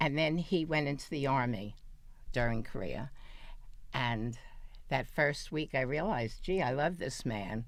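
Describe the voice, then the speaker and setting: Audible room echo surrounds a woman whose very deep, low voice has lively intonation. She speaks at a fairly slow pace with long, frequent pauses. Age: 80s+. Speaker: interview guest. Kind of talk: interview. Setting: studio.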